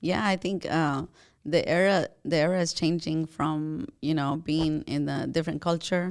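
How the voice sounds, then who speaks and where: With a Spanish accent, a woman speaks fairly slowly at a fairly low pitch. Her intonation is a flat monotone. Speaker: podcast host. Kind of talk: casual interview chat.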